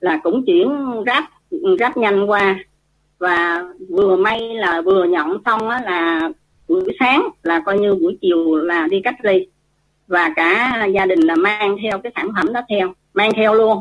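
Here is an ordinary speaking voice from a woman at medium pitch. She talks at a fairly slow pace with lively intonation. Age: 60s. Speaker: nutrition consultant. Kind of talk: testimony.

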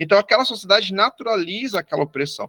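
Using a raised, projected voice, a man speaks at a very fast pace with a high pitch and lively intonation, in a dry, close sound with no echo. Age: 30s. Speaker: historian. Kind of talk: educational discussion.

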